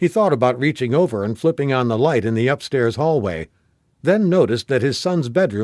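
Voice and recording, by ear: With lively intonation, someone is reading aloud in a natural voice, and the background is quiet.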